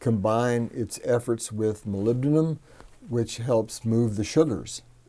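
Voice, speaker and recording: A man speaks at a fairly slow pace, his medium-pitched voice dark and mellow in tone. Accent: Texan. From Texas, Hallettsville. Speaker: soil business owner. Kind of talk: interview. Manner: halting, many fillers.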